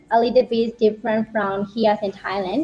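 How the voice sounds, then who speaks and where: There is noticeable background noise behind a woman whose voice sits fairly high. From Myanmar. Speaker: university student. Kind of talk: panel discussion. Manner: halting.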